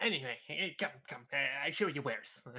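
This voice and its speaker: In a put-on character voice, the speaker talks at a moderate pace with a low-to-middle pitch. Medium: actual play. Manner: broken, simple speech.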